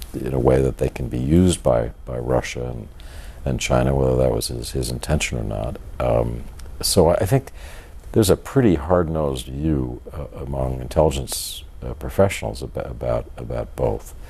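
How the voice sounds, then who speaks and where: Through noticeable background noise, a man talks at a moderate pace in a very deep, low pitch with ordinary pitch variation. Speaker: author. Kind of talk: interview answer.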